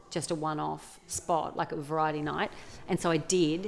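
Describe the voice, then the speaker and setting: With an Australian accent, a woman speaks in a very deep, low pitch and monotone, flat intonation. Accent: Australian, regional. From regional Australia. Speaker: comedian and actor. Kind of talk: casual interview.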